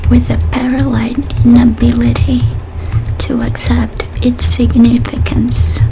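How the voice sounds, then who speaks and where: A soft-spoken voice moves at a fairly slow pace. Noticeable background noise runs underneath. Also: woman, very deep, low pitch for a woman. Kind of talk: short story reading.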